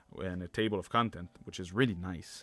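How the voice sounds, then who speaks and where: Over music in the background, a man with a very deep, low pitch speaks at a moderate pace with ordinary pitch variation. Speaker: history book reviewer. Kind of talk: book review talk to camera. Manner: casual, hesitant with fillers.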